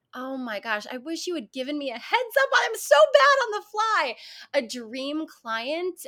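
A woman with an American accent speaks high and slowly in a raised, projected voice, bright and sharp in tone. Her pitch swings very widely and her loudness shifts greatly. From New York. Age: 40s. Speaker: fitness instructor and actress. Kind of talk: casual chat.

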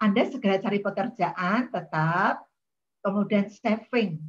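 Very slowly, a woman speaks in a somewhat breathy voice at a medium pitch. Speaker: university lecturer in counseling. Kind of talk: online seminar talk. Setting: video call.

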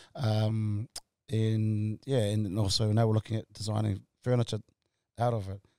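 Dark and mellow in tone, a man speaks in a fairly low, monotone, flat voice at a moderate pace with long, frequent pauses, in a dry, close sound with no echo. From Tonga, raised in South Auckland from age eight. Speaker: entrepreneur. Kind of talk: interview. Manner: halting, many fillers.

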